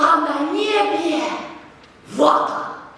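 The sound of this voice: Strong room echo surrounds a woman doing a put-on character voice. She speaks at a very slow pace with high pitch, a bright, sharp tone and lively intonation.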